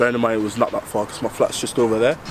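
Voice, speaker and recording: A man talks at a very fast pace and medium pitch, with noticeable background noise present. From Netherlands (Amsterdam), then northeast England from childhood. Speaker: documentary presenter. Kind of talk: casual on-location interview.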